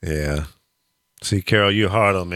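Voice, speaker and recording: Very deep and low, the man's voice has a bright, sharp tone on a very clean recording with a silent background. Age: 60s. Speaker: radio talk show host. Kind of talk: casual banter on live talk radio. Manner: animated.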